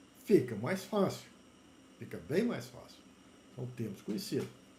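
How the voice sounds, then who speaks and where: A man speaks with vocal fry and a dark, mellow tone. There is audible echo from the room. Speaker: university lecturer in plant genetics. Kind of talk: lecture.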